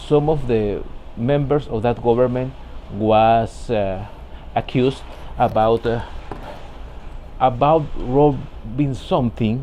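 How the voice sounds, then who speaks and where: This man has a medium pitch. He talks with a Spanish accent. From Ecuador. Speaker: vlogger, professional immigrant. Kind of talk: personal vlog monologue. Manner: halting, many repetitions and fillers.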